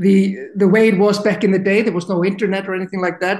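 A man with an Icelandic accent talks in a high pitch. His intonation is monotone and flat. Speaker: university administrator, former football player. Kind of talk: interview. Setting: podcast recording.

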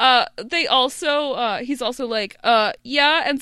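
A woman's high-pitched voice rings out bright and sharp, raised and projected. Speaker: podcast co-host. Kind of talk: casual chat.

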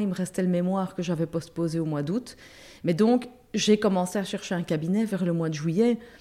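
The speaker has a Liège accent and a dark, mellow tone, talking at a fairly quick pace with ordinary pitch variation. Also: woman. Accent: Liège Belgian French. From Belgium, Brussels. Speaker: lawyer and substitute judge. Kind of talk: casual interview.

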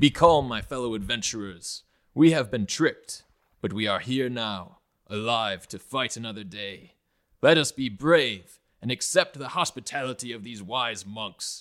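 A man uses a put-on character voice, loud and booming at medium pitch with ordinary pitch variation. He keeps a moderate pace on a very clean recording with a silent background. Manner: powerful, booming, commanding.

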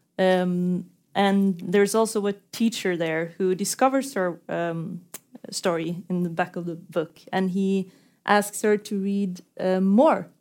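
A woman's medium-pitched voice in a Norwegian accent at a very slow pace. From Norway. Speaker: author and interviewer. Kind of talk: onstage literary conversation. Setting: stage with audience.

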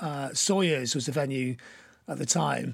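A man's voice carries vocal fry and lively intonation. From northern England, Blackpool. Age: 60s. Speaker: punk musician and writer. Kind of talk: casual interview chat. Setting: video call.

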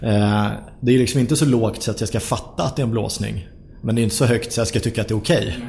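With vocal fry, a man speaks at a very fast pace. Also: medium pitch for a man, ordinary pitch variation. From Sollentuna, north of Stockholm, Sweden. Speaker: football club board member. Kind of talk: casual interview.

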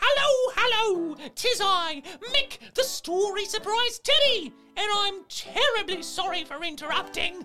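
Over faint music in the background, a put-on character voice with extremely high pitch speaks at a fairly slow pace. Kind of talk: children's show, comic gameshow host. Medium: read story. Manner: bubbly, upbeat, playful.

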